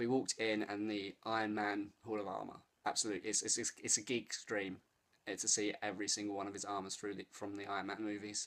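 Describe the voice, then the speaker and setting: A man speaks with an English accent. His pitch is fairly low. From England. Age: 30s. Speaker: vlogger. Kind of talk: casual vlog. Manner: animated.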